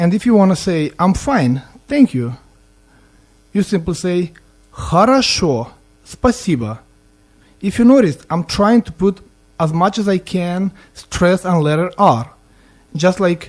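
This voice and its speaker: Speaking fairly slowly with a Russian accent, a man uses a high-pitched voice with very wide pitch swings and long, frequent pauses. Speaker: student language teacher. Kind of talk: language lesson. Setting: student radio studio. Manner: halting, repeats words.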